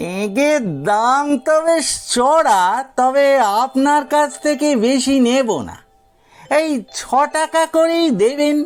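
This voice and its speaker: A man in a put-on character voice, extremely high in pitch and very slow, with faint music in the background. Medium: read story. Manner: humble, deferential, ingratiating.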